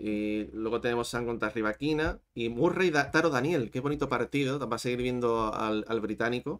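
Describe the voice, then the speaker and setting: This is an unremarkable speaking voice, moving at a moderate pace with ordinary pitch variation. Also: man, medium pitch for a man. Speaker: tennis youtuber. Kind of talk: live-stream tennis chat.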